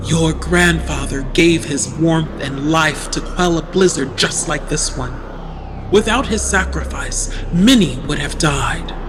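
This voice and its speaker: Over loud background noise, someone uses a put-on character voice at a middle pitch and a fairly slow pace. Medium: read story. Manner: cold.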